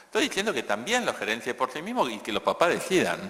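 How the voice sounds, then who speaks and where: A man talks at a very fast pace with a Rioplatense accent, his pitch swinging very widely. Noticeable background noise runs behind him. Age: 60s. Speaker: economist and education speaker. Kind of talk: conference Q&A answer. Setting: conference stage with audience. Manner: halting with repetitions.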